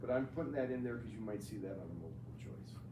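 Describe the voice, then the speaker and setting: There is noticeable background noise behind this man's voice. Room echo can be heard as he talks. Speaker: math teacher. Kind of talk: classroom lecture. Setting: classroom with students.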